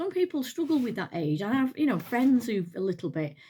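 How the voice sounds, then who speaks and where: With an English accent, a woman at fairly high pitch talks at a moderate pace in a dark, mellow tone, her pitch swinging very widely. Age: 60s. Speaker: retired nurse, lifestyle vlogger. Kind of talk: casual chat. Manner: halting.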